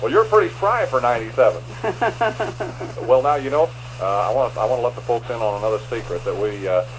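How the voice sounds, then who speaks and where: A man talks at a very fast pace yet leaves long, frequent pauses. There is noticeable background noise. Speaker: radio host. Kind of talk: radio interview. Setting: radio studio.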